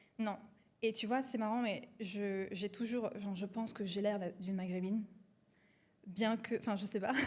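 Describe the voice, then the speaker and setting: Somewhat breathy, a woman at medium pitch speaks at a moderate pace in a flat monotone, with long, frequent pauses. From France, Marseille. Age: 20s. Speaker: entrepreneur, company co-founder. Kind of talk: casual interview chat.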